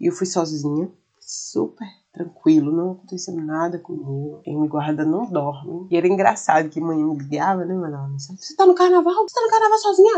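A woman speaks at a moderate pace. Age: 30s. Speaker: podcaster. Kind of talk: personal monologue.

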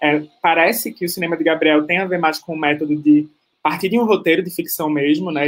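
A man's fairly high pitch, an ordinary speaking voice, ordinary pitch variation. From Pernambuco. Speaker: panel moderator, filmmaker and researcher. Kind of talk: panel moderation.

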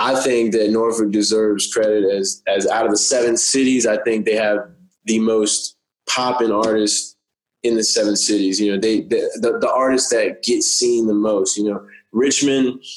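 Music plays behind a man speaking at medium pitch. His intonation is monotone and flat, his loudness very even. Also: moderate pace. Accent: American. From rural southeastern Virginia (Windsor near Suffolk). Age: 20s. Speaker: rapper and bartender. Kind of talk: casual interview. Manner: laid-back, filler-heavy.

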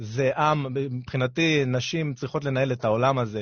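A man talks at a fairly slow pace and medium pitch. His voice is somewhat breathy, with ordinary pitch variation. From Israel, southern coastal area. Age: 30s. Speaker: radio host and fitness coach. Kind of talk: radio talk show monologue. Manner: animated.

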